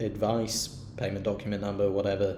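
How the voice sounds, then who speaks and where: A man at a fairly low pitch and moderate pace, with audible room echo. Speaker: university team member explaining expense claims. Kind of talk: screen-recorded tutorial. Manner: halting with many fillers; casual.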